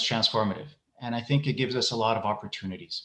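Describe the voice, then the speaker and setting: With ordinary pitch variation, this man's voice carries a bright, sharp tone. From Iraq and Ecuador. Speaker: education leader. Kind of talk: keynote speech. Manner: hesitant, many fillers and repetitions.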